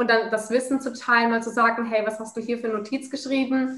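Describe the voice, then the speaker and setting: A woman's fairly high-pitched voice in a monotone, flat intonation. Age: 20s. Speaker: master's student. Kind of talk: casual interview.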